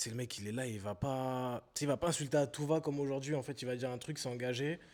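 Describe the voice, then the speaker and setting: A man's very fast, medium-pitched talk with fairly even intonation. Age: 20s. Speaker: podcast host. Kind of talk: interview conversation.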